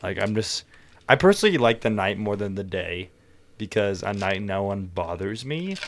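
Using an unremarkable speaking voice, a man talks at a moderate pace in a fairly low pitch with fairly even intonation. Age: 18, just turned adult. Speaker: podcast guest, recent high school graduate. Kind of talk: casual chat.

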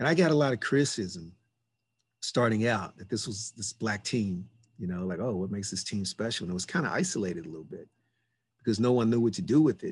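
Somewhat breathy and medium in pitch, a man's voice races at a very fast pace with very wide pitch swings. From Louisville, Kentucky. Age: 50s. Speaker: volleyball coach. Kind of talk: casual conversation.

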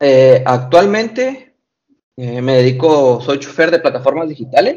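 The delivery moves at a fairly slow pace. Its intonation is lively. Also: man. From Mexico. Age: 20s. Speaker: tiktoker and rideshare driver. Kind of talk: interview. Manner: hesitant, many fillers.

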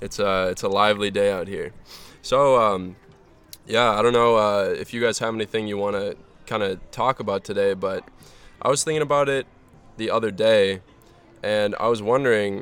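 A man at a moderate pace with fairly even intonation and long, frequent pauses, music playing in the background. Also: fairly low pitch for a man. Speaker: podcast host. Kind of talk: casual chat. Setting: outdoors, front yard.

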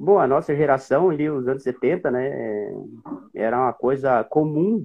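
Using a plain, everyday voice, a man talks with a fairly high pitch and lively intonation. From Rio Grande do Sul, Brazil (Centro-Serra region). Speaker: former marathon runner. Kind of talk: interview.

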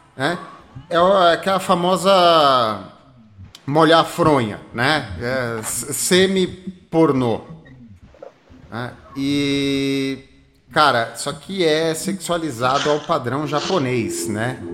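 A man's fairly high voice at a very slow pace, broken by long, frequent pauses. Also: ordinary pitch variation. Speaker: podcast host. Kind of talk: casual chat.

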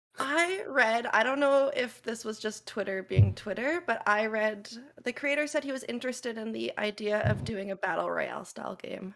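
A woman speaks in a normal speaking voice at a fairly high pitch. Her pace is moderate, with ordinary pitch variation and hardly any pauses. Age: 30s. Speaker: variety streamer. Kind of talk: casual chat.

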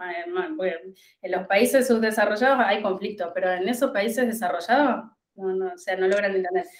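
A woman speaks in a Rioplatense accent at a medium pitch. Her pace is moderate and her pitch varies in an ordinary way. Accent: Argentine Spanish (rioplatense). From Argentina, La Pampa. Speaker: agronomist and commodities market advisor. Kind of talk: interview.

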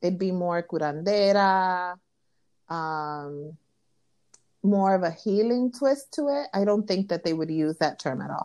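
Against a quiet background, a woman in a New York accent speaks at a moderate pace with a fairly low pitch, a dark, mellow tone and lively intonation. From Brooklyn, New York (Williamsburg), Dominican family. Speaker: podcast co-host, spiritual practitioner. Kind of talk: casual chat.

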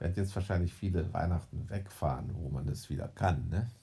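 A man speaks at a moderate pace in a very deep, low voice, his dark, mellow tone edged with vocal fry and carrying ordinary pitch variation. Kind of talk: casual chat.

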